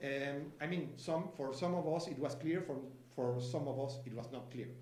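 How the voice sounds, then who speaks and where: Audible room echo and noticeable background noise accompany a man. His voice is fairly high, with fairly even intonation. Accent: Spanish. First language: Spanish. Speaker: sustainability finance expert. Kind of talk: conference presentation. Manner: halting, many fillers.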